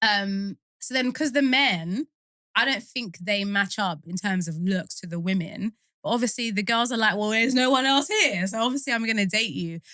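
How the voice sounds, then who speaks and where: A woman with a British accent has a fairly high pitch and a bright, sharp tone. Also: ordinary pitch variation, moderate pace. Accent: British, leaning towards RP, a bit posh. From UK. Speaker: actor and performer. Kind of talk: casual chat. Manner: animated.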